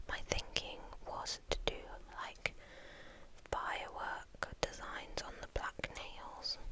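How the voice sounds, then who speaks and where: Someone whispers at a very slow pace with long, frequent pauses. Noticeable background noise sits behind the voice. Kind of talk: ASMR whispered ramble. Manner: whispered.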